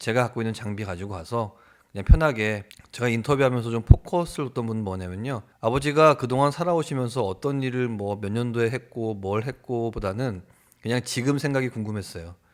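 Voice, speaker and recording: Speaking at a fairly quick pace, a man uses a normal speaking voice of medium pitch with ordinary pitch variation. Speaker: TV producer / YouTuber. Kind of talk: casual talk to camera.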